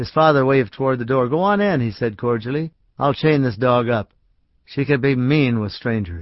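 The passage is read aloud in a natural voice, its pitch varying in an ordinary way.

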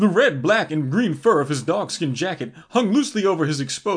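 Lively intonation in a natural reading voice

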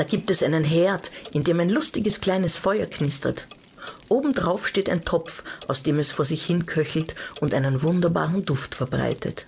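Her tone is animated and playful, and the woman's pitch is fairly low, with ordinary pitch variation and very even loudness. Background noise is noticeable. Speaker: audiobook narrator. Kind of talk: dramatic storytelling, children's audiobook narration. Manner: animated, suspenseful, hushed then stormy, with playful character voices; slow, coaxing, directly addressing the child listener.

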